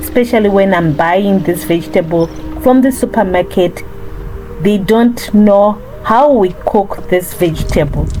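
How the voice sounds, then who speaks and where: With music in the background, a woman speaks fairly slowly at a medium pitch, with ordinary pitch variation and very even loudness. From Zimbabwe. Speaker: cooking vlogger. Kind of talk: cooking tutorial vlog.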